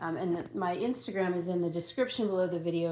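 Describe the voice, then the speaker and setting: The voice belongs to a woman. Audible room echo is present. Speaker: doll collector vlogger. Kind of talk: casual chat. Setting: at home, night time. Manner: low-key and relaxed, sometimes very quiet.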